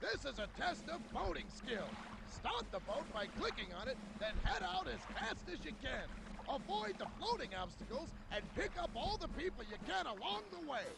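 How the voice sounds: A man puts on a character voice pitched extremely high, with big swings in pitch and some vocal fry. He speaks at a moderate pace over clear background noise.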